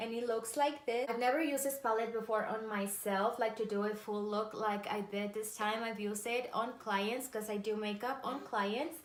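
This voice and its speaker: In a Spanish accent, a woman talks at a moderate pace with fairly even intonation and hardly any pauses. Audible room echo and noticeable background noise are present. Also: fairly high pitch for a woman. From Mexico. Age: 30s. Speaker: makeup artist and beauty vlogger. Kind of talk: makeup tutorial.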